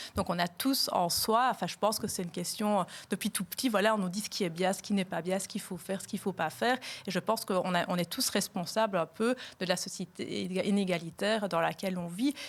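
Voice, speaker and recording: A woman talks fairly quickly in a medium pitch that varies in an ordinary way. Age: 40s. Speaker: politician. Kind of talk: podcast interview. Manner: hesitant, many fillers.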